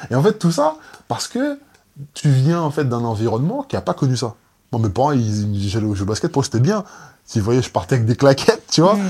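Somewhat breathy and at a medium pitch, a man talks at a fairly quick pace with very wide pitch swings and long, frequent pauses. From Guadeloupe. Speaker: basketball player. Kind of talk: casual chat.

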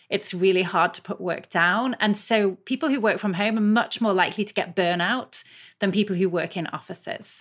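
On a very clean recording with a silent background, a woman with a British accent speaks at medium pitch and a moderate pace with ordinary pitch variation. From UK. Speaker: business school professor and researcher. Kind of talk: interview.

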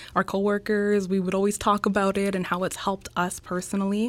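A woman with a Canadian accent uses a normal speaking voice at a medium pitch and moderate pace. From Canada, Winnipeg, Manitoba. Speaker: entrepreneur. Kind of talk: interview.

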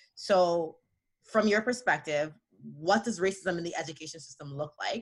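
A woman speaks at a moderate pace. Her fairly low voice has ordinary pitch variation. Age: 30s. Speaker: podcast co-host, mother. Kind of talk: casual chat. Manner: animated.

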